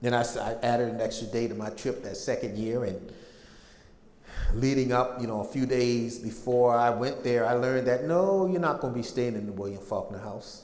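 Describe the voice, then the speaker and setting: At a moderate pace and a medium pitch, a man speaks in a plain, everyday voice with ordinary pitch variation. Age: 60s. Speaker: public speaker on slavery history. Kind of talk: lecture.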